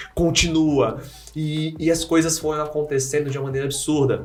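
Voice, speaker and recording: With noticeable background noise and audible room echo, a man speaks at a fairly high pitch and a moderate pace, his intonation fairly even. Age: 40s. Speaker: nursing professor and health speaker. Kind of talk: podcast interview. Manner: repetitive, halting.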